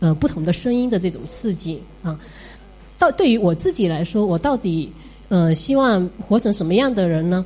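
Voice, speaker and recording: A woman with an ordinary speaking voice talks at medium pitch. Her intonation is lively and her pace moderate. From Fuzhou, China. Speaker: teacher. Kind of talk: audience talk at listener meetup.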